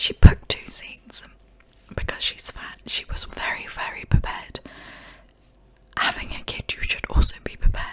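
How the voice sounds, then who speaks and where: A woman's soothing whisper at a moderate pace, with noticeable background noise. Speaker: ASMR creator. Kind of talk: giving her own opinion on the story. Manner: whispered, soothing.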